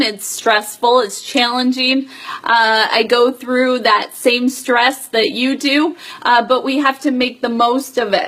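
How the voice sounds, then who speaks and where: Against noticeable background noise, a woman speaks very slowly at a high pitch. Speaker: direct sales team leader. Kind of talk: live stream business update. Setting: Facebook Live video stream. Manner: many filler words.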